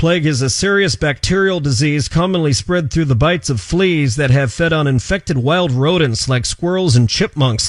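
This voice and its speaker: Using a plain, everyday voice, a man with a fairly high pitch talks at a moderate pace with lively intonation and very even loudness. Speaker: radio news reporter. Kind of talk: radio news report.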